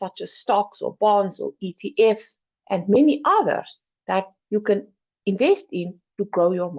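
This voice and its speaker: With a South African accent, a woman speaks at a fairly high pitch, her voice making very wide pitch swings. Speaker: finance program educator. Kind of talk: presentation.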